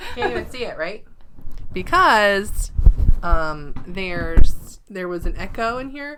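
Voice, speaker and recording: A soft-spoken woman's medium-pitched voice at a very slow pace, with very wide pitch swings, big swings in loudness, and audible room echo. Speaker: quilting vlogger. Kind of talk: casual chat. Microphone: microphone wrapped in batting to cut echo.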